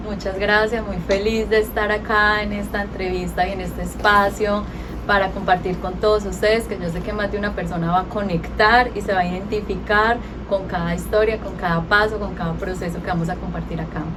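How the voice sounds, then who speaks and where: Amid noticeable background noise and an audible echo from the room, a woman talks fairly fast. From Colombia, near Pereira. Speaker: entrepreneur, interview guest. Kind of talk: radio interview.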